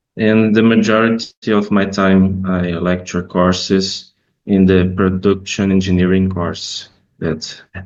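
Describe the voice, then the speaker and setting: A man's very deep, low voice in a Brazilian Portuguese accent, fairly slow and monotone. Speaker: professor. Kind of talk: conference presentation. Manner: halting.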